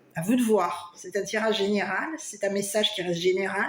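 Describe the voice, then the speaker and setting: Noticeable background noise runs under this recording. A woman speaks at medium pitch. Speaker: tarot card reader. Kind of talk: tarot reading for viewers. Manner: loud; hesitant, many fillers.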